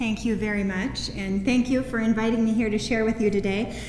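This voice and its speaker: A woman talks at a fairly quick pace with fairly even intonation. Noticeable background noise and audible room echo are present. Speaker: parent of a patient, speaker. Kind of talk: presentation talk. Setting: conference room with audience. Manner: soft-spoken.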